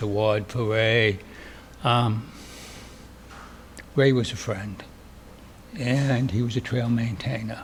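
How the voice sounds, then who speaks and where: A man with a Boston accent speaks at a very slow pace with fairly even intonation. Audible room echo surrounds his voice. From Boston area, US. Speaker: trail crew leader and hostel operator. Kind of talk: acceptance speech.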